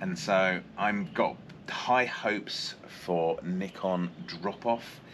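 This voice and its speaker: A man's fairly low-pitched voice amid noticeable background noise. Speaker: dive guide or vlogger. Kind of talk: tutorial-style explanation. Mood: enthusiastic, looking forward.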